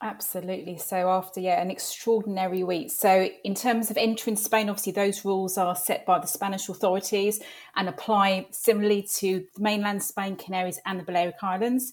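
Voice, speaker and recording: Speaking in a London accent, a woman talks at a fairly quick pace with hardly any pauses, a medium pitch and fairly even intonation. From North London. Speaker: travel industry executive. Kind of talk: interview.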